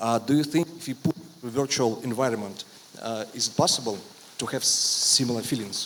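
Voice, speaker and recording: A man with a non-native accent speaks fairly quickly, his pitch varying in an ordinary way. Noticeable background noise is present. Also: medium pitch for a man, big swings in loudness. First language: not English. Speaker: audience member, AI specialist. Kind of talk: audience question. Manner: halting.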